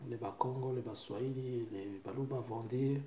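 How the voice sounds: With audible room echo, a man speaks at medium pitch in a dark, mellow tone and fairly even intonation.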